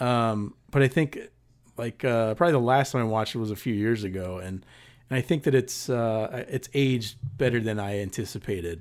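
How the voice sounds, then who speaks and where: With a Californian accent, a man talks at a medium pitch and fairly quick pace with ordinary pitch variation, on a very clean recording with a silent background. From Southern California, Paramount. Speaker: podcast co-host, film reviewer. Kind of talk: casual chat.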